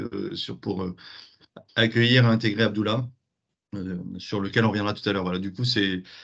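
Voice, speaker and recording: The speaker has a slight southwestern French accent and ordinary pitch variation. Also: man. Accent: slight southwest French. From southwest France. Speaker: business founder. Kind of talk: webinar panel talk.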